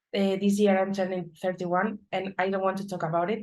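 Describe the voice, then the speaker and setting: Against a quiet background, a woman with a medium pitch speaks in a Spanish accent. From Spain, Madrid. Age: 30s. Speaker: data analyst. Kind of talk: conference talk.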